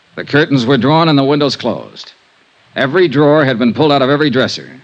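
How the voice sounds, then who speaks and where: A fairly high-pitched man talking at a very fast pace over noticeable background noise. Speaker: radio drama lead, insurance investigator narrating. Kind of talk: old-time radio detective drama with first-person narration.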